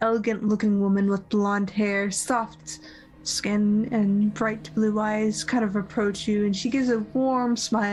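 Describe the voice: Someone reads a text out loud. The reading is plain.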